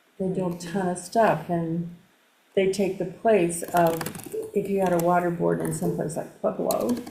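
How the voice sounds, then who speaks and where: Against audible room echo and noticeable background noise, a woman speaks at a moderate pace with a fairly low pitch and fairly even intonation. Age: 70s. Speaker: local resident and water board member. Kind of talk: casual chat.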